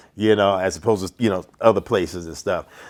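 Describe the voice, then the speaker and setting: With a slight New York accent, a man speaks at a fairly low pitch with fairly even intonation. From New York, Brooklyn. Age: 60s. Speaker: boxing referee. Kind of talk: podcast interview. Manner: halting, many fillers.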